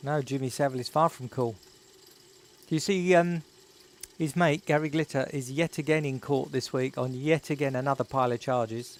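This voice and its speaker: A man keeps a fairly quick pace and fairly even intonation. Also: fairly high pitch for a man. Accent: Estuary. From England, North East London. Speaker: YouTuber. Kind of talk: live stream chat. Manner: casual, chatty.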